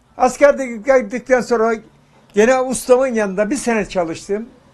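A man speaks at a moderate pace. His pitch is extremely high. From Turkey. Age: 80s+. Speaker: tailor. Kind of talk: interview. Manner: halting. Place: shop.

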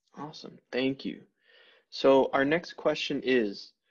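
The pace is very slow. The background is quiet. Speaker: school administrator and teacher. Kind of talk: moderated webinar Q&A. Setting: video call. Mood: friendly, upbeat. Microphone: video call.

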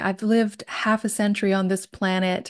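A woman talks at a moderate pace over a quiet background. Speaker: podcast guest. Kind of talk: personal storytelling in a conversation. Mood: warm, reflective. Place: home room. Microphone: studio mic.

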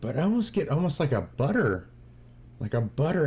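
A man speaks at a moderate pace in a dark, mellow, somewhat breathy tone. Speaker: vape reviewer. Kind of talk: casual product review chat. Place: home room.

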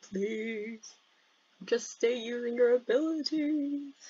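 A high, female-sounding put-on character voice at a very slow pace. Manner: ghostly.

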